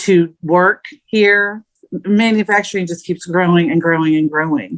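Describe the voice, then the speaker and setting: A woman with an unremarkable speaking voice talks at a medium pitch and fairly slow pace. Her intonation is fairly even, and the sound is dry and close with no echo. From Indiana, US Midwest. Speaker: podcast co-host. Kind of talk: casual chat.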